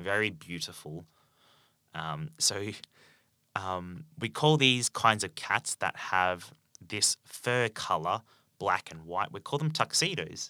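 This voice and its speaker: With an Australian accent, a man speaks at a fairly low pitch and fairly slow pace, his bright, sharp tone swinging very widely in pitch, in a dry, close sound with no echo. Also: very clean recording, silent background. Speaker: English teacher. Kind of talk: language-learning podcast monologue. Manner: slow, clear and simple for learners; many filler ums.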